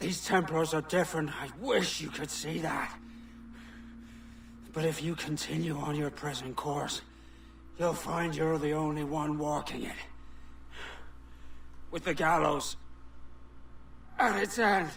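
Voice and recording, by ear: Putting on a character voice, a man talks at a slow pace with a fairly bright tone, vocal fry, ordinary pitch variation and long, frequent pauses. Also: fairly high pitch for a man.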